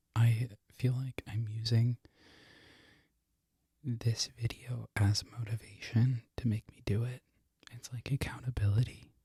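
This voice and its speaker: A man whispers, somewhat breathy, with long, frequent pauses and big swings in loudness. The sound is dry and close with no echo. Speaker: barista. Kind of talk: ASMR ramble to camera. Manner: whispered.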